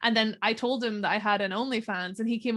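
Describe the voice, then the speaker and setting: The delivery is very fast and monotone, with a flat intonation, in a Northern Irish accent. The recording is very clean, with a silent background. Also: woman. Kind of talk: casual interview chat. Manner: casual, chatty.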